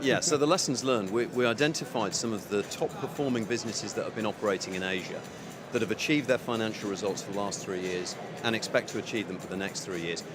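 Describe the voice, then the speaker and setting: Over music in the background, a man talks at a very fast pace with audible room echo. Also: medium pitch for a man, ordinary pitch variation. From United Kingdom. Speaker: telecom business executive. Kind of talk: conference interview. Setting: conference venue.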